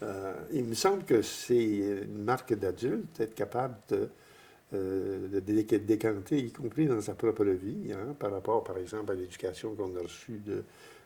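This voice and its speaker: Dark, mellow, somewhat breathy voice at a fairly slow pace with ordinary pitch variation. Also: man, fairly low pitch for a man. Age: 80s+. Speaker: priest. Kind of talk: interview. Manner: halting, many repetitions.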